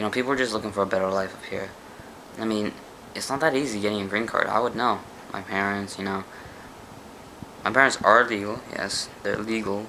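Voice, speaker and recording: Someone with an American accent speaks at a fairly quick pace but with long, frequent pauses, over noticeable background noise. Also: man, fairly low pitch for a man. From United States. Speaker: vlogger. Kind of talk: casual monologue vlog. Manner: animated.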